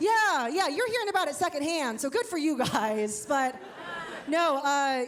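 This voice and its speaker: Crowd noise fills the background. A woman with an Ohio accent speaks with very wide pitch swings. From Ohio, US Midwest. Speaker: comedian. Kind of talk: stand-up. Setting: stage with audience. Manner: casual, filler-heavy.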